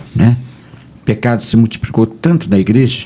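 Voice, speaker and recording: Lively intonation marks this man's somewhat breathy voice, which has a dark, mellow tone. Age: 70s. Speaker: pastor. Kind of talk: radio debate. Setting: radio studio.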